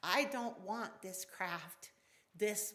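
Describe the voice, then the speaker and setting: Audible room echo surrounds a woman who talks at a very slow pace, her fairly high voice bright and sharp in tone with lively intonation. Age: 60s. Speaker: pagan elder and worship speaker. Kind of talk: sermon. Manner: halting.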